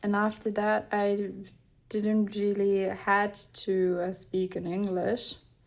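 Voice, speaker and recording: The speaker talks at a very slow pace with a non-native accent. The intonation is monotone and flat. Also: woman, medium pitch for a woman. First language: not English. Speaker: craft youtuber. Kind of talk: casual chat while crafting. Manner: halting, many fillers.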